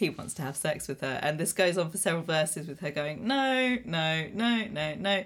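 A woman talks in an unremarkable speaking voice, pitched fairly low, at a moderate pace. Her intonation is lively, and she hardly pauses. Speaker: musician. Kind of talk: casual chat.

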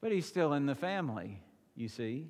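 A man with a normal speaking voice, fairly high in pitch, with lively intonation at a moderate pace. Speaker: pastor. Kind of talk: sermon. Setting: church.

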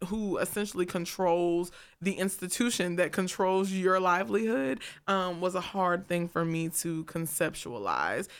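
Recorded very cleanly over a silent background, a woman uses a normal speaking voice at a medium pitch. Her pace is fairly slow and her intonation fairly even. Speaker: recent graduate, performer. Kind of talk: casual chat. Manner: laughs often.

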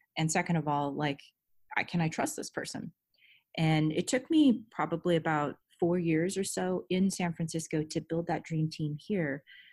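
A woman's fairly low-pitched, ordinary speaking voice with an American accent, ordinary pitch variation and a moderate pace, in a very clean recording with a silent background. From Southern California. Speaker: head of security. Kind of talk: interview.

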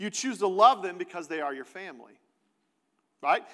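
A man speaks at a fairly quick pace in a raised, projected voice. His tone is bright and sharp. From Kansas City, US Midwest. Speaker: pastor. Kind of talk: sermon. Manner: conversational.

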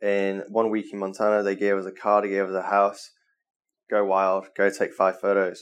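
Speaking with a Mancunian accent, the man holds a fairly low pitch in a monotone, flat intonation. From northern England, Manchester. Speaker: travel photographer. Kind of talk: interview. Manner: casual, filler-heavy.

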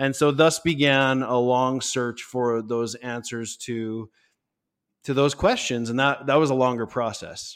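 A man's normal speaking voice at medium pitch, fairly slow, with fairly even intonation, on a very clean recording with a silent background. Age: 30s. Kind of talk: interview.

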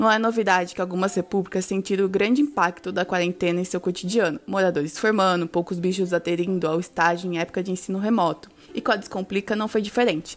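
This woman's medium-pitched voice, with ordinary pitch variation, rushes at a very fast pace. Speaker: university student. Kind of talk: scripted sponsor read.

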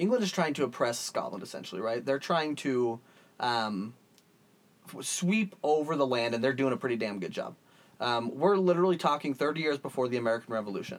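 With a plain, everyday voice, a man speaks at a fairly quick pace in a fairly high pitch with lively intonation. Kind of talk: mock ring-style announcer banter, playful. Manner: theatrical, projecting, jokey.

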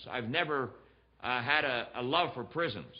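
A man with an American accent speaks at a moderate pace with lively intonation. He has an unremarkable speaking voice. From Pennsylvania, US. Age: 60s. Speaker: guest preacher. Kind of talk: sermon. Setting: church.

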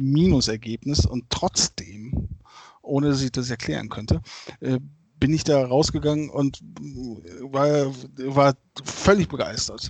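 Fairly slow speech from a man at a medium pitch, its pitch varying in an ordinary way. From Germany, Bergisch Gladbach near Cologne. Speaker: football fan. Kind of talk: casual chat.

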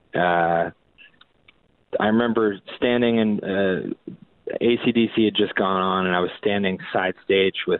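This man has an ordinary speaking voice with an American accent. His pitch is fairly low, with ordinary variation. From Massachusetts South Shore (Boston area). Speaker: rock guitarist. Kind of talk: casual interview chat.

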